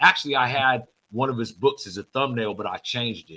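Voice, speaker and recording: The speaker has an American accent and a bright, sharp tone, talking at a fairly quick pace. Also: man. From Sacramento, California. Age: 50s. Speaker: online show host, former prisoner. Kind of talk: interview. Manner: halting.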